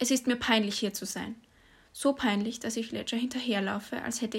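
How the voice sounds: A natural reading voice is heard. The intonation stays fairly even.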